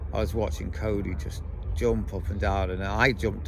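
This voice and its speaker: A man with an English accent talks at a fairly quick pace, his very deep, low pitch carrying lively intonation. Audible room echo surrounds his voice. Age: 50s. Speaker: vlogger. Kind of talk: casual chat. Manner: animated.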